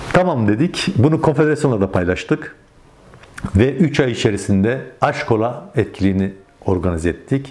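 A man speaks with very wide pitch swings. His loudness stays very even. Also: moderate pace. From Turkey, Yozgat (Sorgun); Turkey. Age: 50s. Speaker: Alevi community organizer, former local councillor; interviewee. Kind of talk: interview testimony. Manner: hesitant, many filler sounds. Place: home room. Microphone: lapel.

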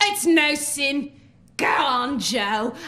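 Putting on a character voice, a woman speaks very slowly with a high pitch, lively intonation, and a bright, sharp tone.

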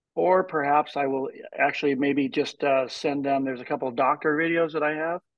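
Fairly even intonation and a fairly quick pace in a normal speaking voice. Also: man, fairly high pitch for a man. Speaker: network marketing senior director. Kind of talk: online team training call. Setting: video call.

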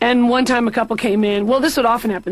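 Noticeable background noise is present. Over it, a woman talks in a fairly high voice. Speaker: comedian guest playing patient. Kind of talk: scripted animated comedy dialogue.

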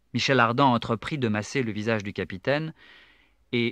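This man's medium-pitched voice shows ordinary pitch variation as he talks at a moderate pace. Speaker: audiobook narrator. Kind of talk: literary audiobook reading, scripted narration of a novel. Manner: measured, dramatic storyteller pacing with suspense.

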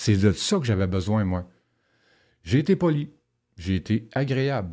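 Behind a quiet background, a man speaks at a fairly slow pace in a fairly low, dark, mellow tone. His intonation is lively. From Quebec (Rouyn-Noranda, Abitibi; also Saguenay-Lac-Saint-Jean); Quebec. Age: 50s. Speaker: former prisoner; guest. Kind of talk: interview testimony. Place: studio. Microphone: studio mic.

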